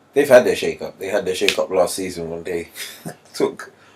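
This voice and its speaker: A man talks at a fairly quick pace with noticeable background noise around him. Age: 20s. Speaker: football pundit. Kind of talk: casual chat. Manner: animated.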